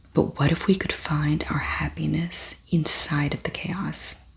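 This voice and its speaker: In a whisper with a gentle tone, the speaker talks at a fairly slow pace. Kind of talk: ASMR soft-spoken book reading. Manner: soft-spoken, gentle.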